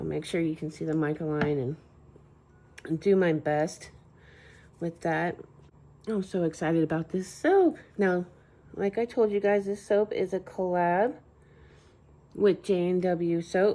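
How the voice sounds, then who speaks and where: Quiet and fairly low, a woman's voice with a dark, mellow tone moves at a fairly slow pace with ordinary pitch variation and long, frequent pauses. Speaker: soap maker and channel host. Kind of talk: narrated craft tutorial. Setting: home at night. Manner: quiet, hushed.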